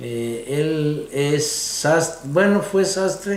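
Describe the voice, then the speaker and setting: A man's voice with audible room echo. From Mexico, Guadalajara, Jalisco. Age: 60s. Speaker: interviewee recounting family history. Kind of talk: oral history interview. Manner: halting, with fillers.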